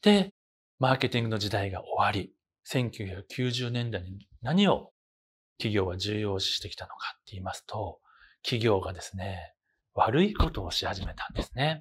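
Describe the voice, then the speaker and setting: At a moderate pace, a somewhat breathy man speaks at a fairly low pitch with ordinary pitch variation and big swings in loudness. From Osaka, Japan. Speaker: university professor. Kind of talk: lecture. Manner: formal. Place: classroom. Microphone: lapel.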